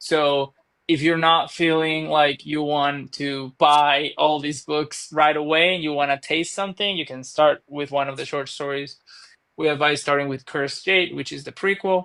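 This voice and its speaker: In a very clean recording with a silent background, a man with a Venezuelan accent speaks at a moderate pace in a fairly high pitch, his tone bright and sharp and his intonation monotone and flat. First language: Spanish. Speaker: author. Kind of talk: podcast interview.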